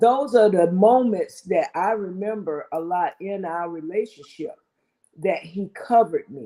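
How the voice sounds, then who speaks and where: At a fairly slow pace, a woman with a medium pitch and a dark, mellow tone talks with ordinary pitch variation and big swings in loudness. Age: 60s. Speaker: married guest sharing relationship advice. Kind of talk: casual talk show chat.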